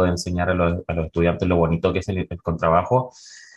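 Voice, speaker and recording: Someone talks at a fairly quick pace. The background is quiet. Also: man. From La Serena, Chile. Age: 30s. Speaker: orchestra conductor and double bassist. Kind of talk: interview.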